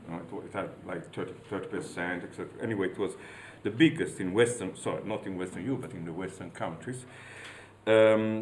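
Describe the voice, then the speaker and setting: Amid audible room echo, a man with an Italian accent talks at a fairly quick pace with lively intonation. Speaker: university professor. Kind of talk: lecture. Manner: halting.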